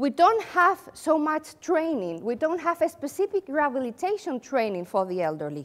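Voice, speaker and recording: The speaker has a Spanish accent and talks at a moderate pace with hardly any pauses. The pitch swings very widely. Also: woman, high pitch for a woman. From Spain. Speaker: occupational therapist and company founder. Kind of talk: conference presentation. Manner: animated.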